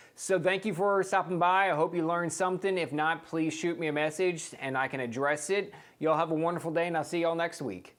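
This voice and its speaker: Talking very fast with hardly any pauses, a man speaks in a high voice with an American accent. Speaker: real estate agent. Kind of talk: tutorial. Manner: animated.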